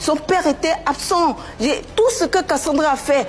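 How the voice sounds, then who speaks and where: Extremely high pitch from a woman, with lively intonation and noticeable background noise. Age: 60s. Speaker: mother of a public figure, former dancer. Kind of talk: TV talk show interview. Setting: TV studio set. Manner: emotional, insistent.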